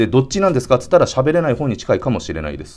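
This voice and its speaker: A man, with faint music in the background. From Hiroshima, Japan; Japan. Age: 40s. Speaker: entrepreneur vlogger. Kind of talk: solo business vlog monologue. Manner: filler-heavy, polite casual. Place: home room.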